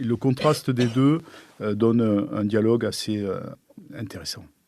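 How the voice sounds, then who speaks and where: Here a man speaks with a southern French accent. His tone is dark and mellow, and his pitch is fairly low. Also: quiet background. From southern France. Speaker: architect. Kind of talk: interview answer. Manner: discreet, hesitant.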